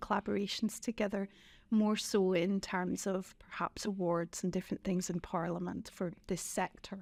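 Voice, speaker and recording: Fairly even intonation marks a woman's speech in a very clean recording with a silent background. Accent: Scottish. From Scotland. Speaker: former member of parliament. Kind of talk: podcast interview.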